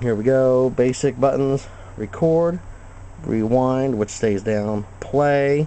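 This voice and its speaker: A man speaks with ordinary pitch variation. Light background noise can be heard. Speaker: hobbyist reviewer. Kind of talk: tutorial. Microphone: phone near.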